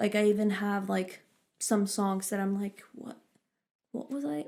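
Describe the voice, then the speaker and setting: Somewhat breathy at a medium pitch, a woman speaks with long, frequent pauses. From Norway. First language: Norwegian. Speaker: singer-songwriter and producer. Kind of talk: casual chat.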